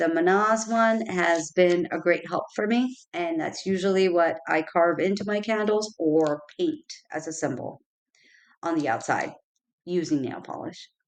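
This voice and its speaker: With a normal speaking voice, a woman speaks fairly slowly at a fairly low pitch, using ordinary pitch variation. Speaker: spirituality content creator. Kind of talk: tutorial.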